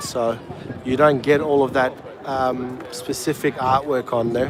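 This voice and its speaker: With an Australian accent, a man talks at a fairly slow pace and with fairly even intonation. Crowd noise runs in the background. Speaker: travel livestreamer. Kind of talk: live walking tour commentary. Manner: calm.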